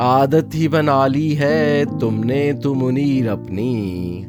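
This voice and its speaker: Over music in the background, a man with fairly low pitch speaks with very wide pitch swings. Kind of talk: poetry reading. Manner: calm, tranquil.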